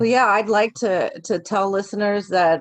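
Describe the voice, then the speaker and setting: A woman with an American accent speaks at a medium pitch and fairly slow pace. The sound is dry and close, with no echo. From Virginia, US East Coast. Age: 40s. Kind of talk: interview conversation. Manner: hesitant, many fillers and restarts.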